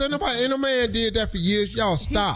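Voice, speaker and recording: Over music in the background, a man with an extremely high pitch speaks in an animated tone. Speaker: radio morning show host. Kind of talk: radio morning show banter. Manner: animated, emphatic, joking.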